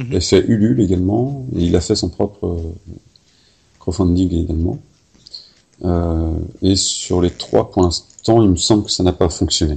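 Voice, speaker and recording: Here a man speaks slowly, at a fairly slow pace, with a very deep, low pitch and ordinary pitch variation. He takes long, frequent pauses. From Paris. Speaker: podcast host. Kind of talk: interview.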